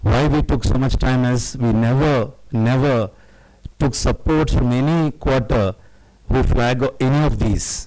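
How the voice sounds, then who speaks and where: Dark and mellow in tone, a man's medium-pitched voice moves at a fairly slow pace, with fairly even intonation and very even loudness. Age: 60s. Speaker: guest speaker, social worker. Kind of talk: public talk to audience. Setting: hall with live audience. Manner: halting, many fillers.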